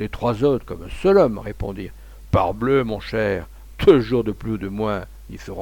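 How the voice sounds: A natural reading voice is heard throughout.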